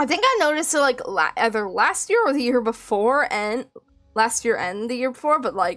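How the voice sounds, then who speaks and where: Over music in the background, a woman speaks loudly and fairly quickly in a high voice with lively intonation. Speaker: vtuber streamer. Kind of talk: casual live stream chat. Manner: exclaims a lot.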